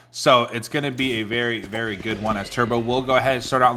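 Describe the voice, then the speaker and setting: At a very fast pace, a man talks at a medium pitch with fairly even intonation over noticeable background noise. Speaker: esports caster. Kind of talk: live commentary. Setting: casting booth at LAN event.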